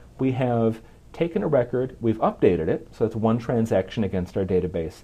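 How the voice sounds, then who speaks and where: A man's somewhat breathy, dark, mellow voice at medium pitch, with ordinary pitch variation and a fairly quick pace. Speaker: software program manager. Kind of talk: tech demo presentation.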